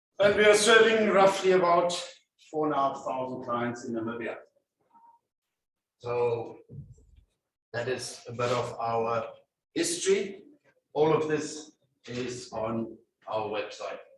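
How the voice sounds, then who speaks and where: A man speaks fairly slowly at a fairly high pitch, with very wide pitch swings and long, frequent pauses. Audible room echo surrounds his voice. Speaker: company CEO giving a career talk. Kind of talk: presentation to school students. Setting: school hall with student audience, no mic. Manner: loud.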